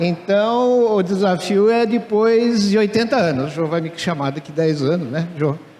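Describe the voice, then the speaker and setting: A man's high voice, fairly slow, with ordinary pitch variation and noticeable background noise. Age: 70s. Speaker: retired professor and entrepreneur. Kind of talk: conference talk. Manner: casual, humorous.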